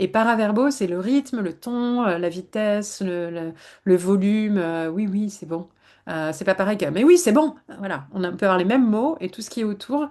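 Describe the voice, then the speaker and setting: The woman's tone is dark and mellow, with big swings in loudness. The background is quiet. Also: medium pitch for a woman, lively intonation. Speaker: psychologist. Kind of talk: webinar talk. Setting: online webinar. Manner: fast.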